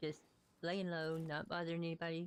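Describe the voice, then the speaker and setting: Speaking at a moderate pace, a woman with a Southern US accent has a fairly low pitch. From US South. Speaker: video game streamer. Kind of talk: live gameplay stream commentary. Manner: casual, chatty.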